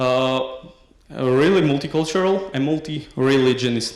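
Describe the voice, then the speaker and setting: Speaking with a Slovak accent, a man with a medium-pitched voice is heard with audible room echo. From Slovakia. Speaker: PhD researcher. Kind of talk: conference talk. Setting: academic conference. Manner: halting, many fillers.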